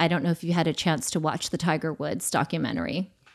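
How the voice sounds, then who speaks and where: The speaker is a woman. The background is quiet. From US, immigrant family. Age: 40s. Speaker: former TV presenter, podcaster. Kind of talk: casual interview chat. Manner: animated.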